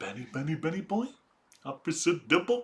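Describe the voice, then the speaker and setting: Using a put-on character voice, a man talks at a fairly quick pace in a playful tone and a high pitch. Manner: cartoonish and playful.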